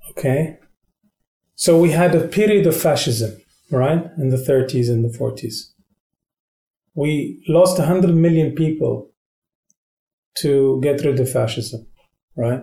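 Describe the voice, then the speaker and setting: Speaking at a very slow pace with long, frequent pauses, a man with a fairly high pitch has a dark, mellow, somewhat breathy voice and ordinary pitch variation. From Qatar. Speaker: ambassador. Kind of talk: interview conversation.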